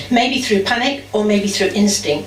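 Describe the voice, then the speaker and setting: A woman speaks at a fairly quick pace in a fairly high voice. Background noise is noticeable. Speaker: spoken word performer. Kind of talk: first-person testimony reading. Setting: live venue.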